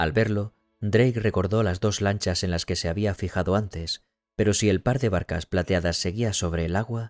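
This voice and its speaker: The speech moves at a moderate pace in an ordinary speaking voice. The sound is dry and close with no echo. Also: man, very clean recording, silent background. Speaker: audiobook narrator. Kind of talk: audiobook reading.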